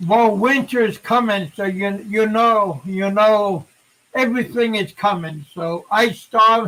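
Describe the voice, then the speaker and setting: A man projects a raised voice with a bright, sharp tone and high pitch, speaking at a very slow pace. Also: ordinary pitch variation. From Alaska. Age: 50s. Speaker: livestream show host. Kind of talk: casual chat.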